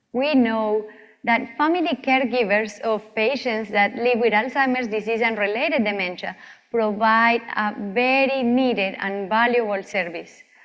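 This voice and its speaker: Speaking at a moderate pace with a Colombian accent, a woman uses a fairly high pitch and ordinary pitch variation, with audible room echo. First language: Spanish. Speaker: physician researcher. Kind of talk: lecture.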